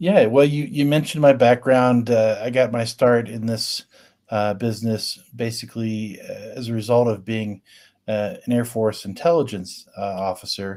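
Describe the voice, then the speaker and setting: A man's normal speaking voice with an American accent, medium in pitch and moderate in pace, with ordinary pitch variation, in a very clean recording over a silent background. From US Midwest, Richmond, Indiana. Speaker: cybersecurity consultant, former Air Force intelligence officer. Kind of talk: interview.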